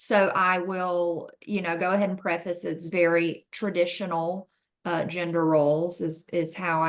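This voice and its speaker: In a Southern US accent, a woman speaks with a fairly low pitch and monotone, flat intonation. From US South. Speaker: mother interviewed about raising a son. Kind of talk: interview.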